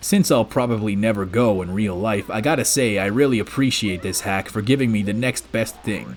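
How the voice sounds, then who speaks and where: A man talks at a fairly quick pace and a fairly low pitch. Noticeable background noise runs underneath. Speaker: gaming video creator. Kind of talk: scripted commentary. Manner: soft-spoken, talking quietly.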